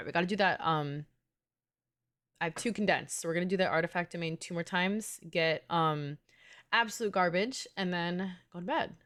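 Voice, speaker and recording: In a New York accent, a woman with a fairly low pitch and ordinary pitch variation speaks with big swings in loudness, recorded very cleanly against a silent background. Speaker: gaming streamer. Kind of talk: casual live stream chat. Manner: fast; animated.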